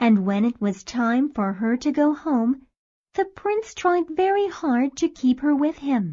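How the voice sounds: The speaker has a dark, mellow tone and lively intonation, delivered at a fairly slow pace. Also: woman, high pitch for a woman.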